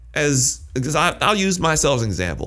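An American accent and vocal fry mark a man speaking at a moderate pace with very wide pitch swings. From Michigan. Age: 30s. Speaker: podcast host. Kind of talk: casual interview. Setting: doctor's exam room.

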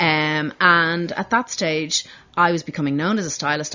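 A woman speaks with a Dublin accent. Her pitch is very deep and low. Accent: Irish (Dublin). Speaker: fashion designer. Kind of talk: casual interview.

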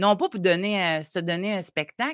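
On a very clean recording with a silent background, a woman speaks at medium pitch in a bright, sharp tone. The sound is dry and close with no echo. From Côte-Nord, Quebec. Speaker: parenting coach. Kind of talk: advice talk.

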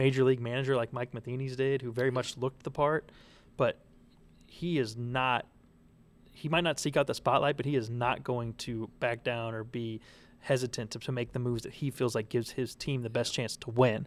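In a normal speaking voice, a man talks at a moderate pace and medium pitch. His intonation is fairly even, and the recording is very clean with a silent background. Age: 20s. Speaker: sports columnist. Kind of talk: casual sports chat. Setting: kitchen studio.

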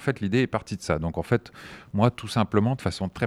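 Fairly low-pitched man's voice, dry and close with no echo, on a very clean recording with a silent background. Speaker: film screening organizer, association founder. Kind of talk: interview. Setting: library recording room, masked. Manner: halting.

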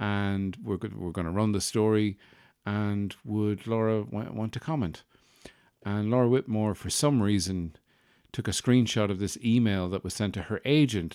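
On a very clean recording with a silent background, a man speaks in an Irish accent at a fairly low pitch. His tone is dark and mellow, his pace moderate, and his pitch variation ordinary. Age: 40s. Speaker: podcast host. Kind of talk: casual comedic monologue. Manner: animated.

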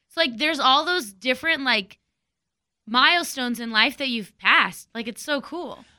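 In a very clean recording with a silent background, a woman with an American accent projects a raised, high-pitched voice with a bright, sharp tone and big swings in loudness. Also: ordinary pitch variation, moderate pace. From Texas. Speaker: radio morning show co-host. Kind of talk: casual chat.

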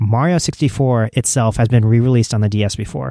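A man talks at a fairly quick pace in a dark, mellow tone, captured in a very clean recording with a silent background. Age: 30s. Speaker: podcast host. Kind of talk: solo podcast commentary. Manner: frequent fillers and repetitions.

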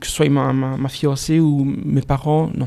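A man with a dark, mellow tone speaks in a fairly high pitch, his intonation monotone and flat. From Belgium, Liège region. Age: 40s. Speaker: novelist. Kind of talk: interview.

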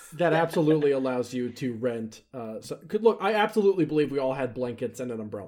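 A man speaks with a dark, mellow tone at medium pitch. His intonation is lively and his pace is fairly quick. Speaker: actual play podcast host and player. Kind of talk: tabletop roleplay game session, casual chat. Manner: animated.

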